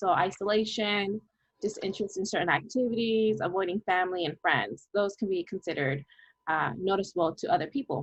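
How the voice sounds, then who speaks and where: A woman with a normal speaking voice and medium pitch talks at a fairly quick pace. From Mexican-American, US. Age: 20s. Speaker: youth mental health promoter. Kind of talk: podcast-style conversation.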